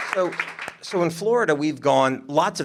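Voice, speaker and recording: A man makes very wide pitch swings as crowd noise carries in the background. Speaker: state legislator. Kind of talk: panel discussion. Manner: loud.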